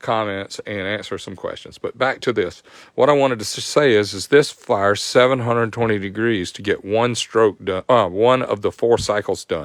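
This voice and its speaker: With a Southern US accent, a man speaks at a moderate pace with hardly any pauses, in a medium-pitched voice with ordinary pitch variation. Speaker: motorcycle performance tech host. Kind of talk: live stream tech tutorial. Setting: live stream.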